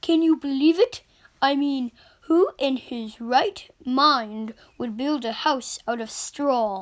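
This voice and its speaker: Over a silent background on a very clean recording, a female-sounding put-on character voice speaks at a high pitch and a very slow pace. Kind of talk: read-aloud storytelling. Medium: read story. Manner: conversational, wry, indignant.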